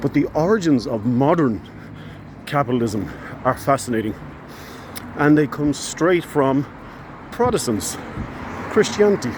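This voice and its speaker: Speaking with an American accent, a man talks at a moderate pace with lively intonation and long, frequent pauses. Noticeable background noise runs underneath. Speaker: social commentary vlogger. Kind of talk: casual educational talk. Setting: outdoors, walking. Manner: hesitant, many fillers.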